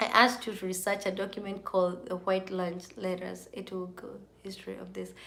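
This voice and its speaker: Through audible room echo, a woman speaks at a moderate pace in a bright, sharp, animated tone. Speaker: YouTuber live streaming to viewers. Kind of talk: casual live-stream chat. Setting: live video stream at midnight. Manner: animated, chatty.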